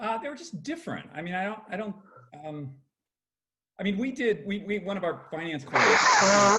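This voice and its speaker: A man speaks in a raised, projected voice that is high-pitched, with lively intonation and long, frequent pauses. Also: moderate pace. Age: 60s. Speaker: media company founder. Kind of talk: casual video chat. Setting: video call.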